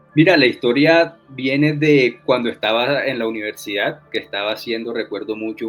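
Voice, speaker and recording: This man talks at a fairly quick pace with ordinary pitch variation, noticeable background noise running underneath. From Colombia, Caribbean coast (Santa Marta). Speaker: novelist. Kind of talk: interview.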